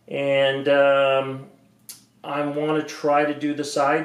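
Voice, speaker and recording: Audible echo from the room fills the recording. A man's voice is heard through it. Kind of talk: casual vlog chat. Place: garage. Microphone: camera far.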